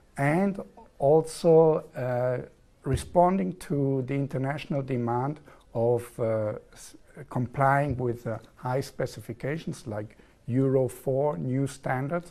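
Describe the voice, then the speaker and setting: A man speaks very slowly at a medium pitch with a dark, mellow tone. His pitch varies in an ordinary way while his loudness swings widely. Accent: southern German. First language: German. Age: 40s. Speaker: engineer, contract manager in oil and gas. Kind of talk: TV interview. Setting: TV studio.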